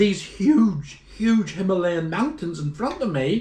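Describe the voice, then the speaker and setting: Very wide pitch swings in a Northern Irish accent, at a fairly slow pace. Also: man. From Northern Ireland. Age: 70s. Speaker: traveler. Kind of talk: casual chat.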